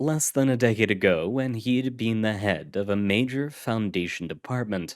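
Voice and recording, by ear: Reading aloud in a natural voice, its pitch rising and falling in an ordinary manner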